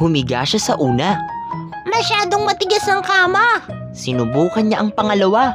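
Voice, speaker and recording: Backed by music in the background, the speech unfolds at a fairly slow pace. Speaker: voice-over artist. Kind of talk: children's story reading.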